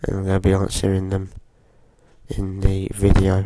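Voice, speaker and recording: There is noticeable background noise as a man talks in a fairly low pitch. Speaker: gaming youtuber. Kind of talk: gameplay commentary. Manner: hesitant, many fillers.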